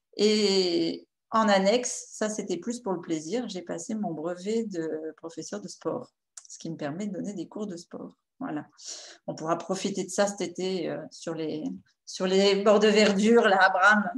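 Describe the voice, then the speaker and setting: A woman talks at a fairly slow pace, with ordinary variation in pitch. Her loudness swings widely. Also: medium pitch for a woman. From northern France, Picardy (Amiens). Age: 50s. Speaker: nutritionist and naturopath. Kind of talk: nutrition workshop talk. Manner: hesitant, many filler sounds.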